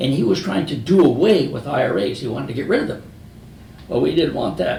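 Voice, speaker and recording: Music plays in the background as a man with an American accent speaks at a fairly quick pace, with audible room echo. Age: 80s+. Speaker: retired business founder. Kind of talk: motivational talk. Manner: conversational storytelling.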